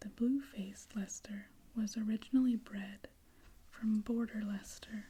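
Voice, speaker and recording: A soft-spoken whisper with a gentle tone at a fairly slow pace. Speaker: ASMR reader. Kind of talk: sleep-aid ASMR reading. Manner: soft-spoken, slow, gentle, moving to whispers.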